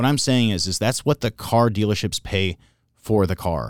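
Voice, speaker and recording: With ordinary pitch variation and a fairly low pitch, a man with a plain, everyday voice talks in a very clean recording with a silent background. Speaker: car sales manager. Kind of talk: casual interview chat.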